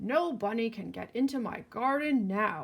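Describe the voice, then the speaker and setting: A woman puts on a growling character voice at a fairly high pitch. She keeps a moderate pace. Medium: read story. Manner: blustery, huffing.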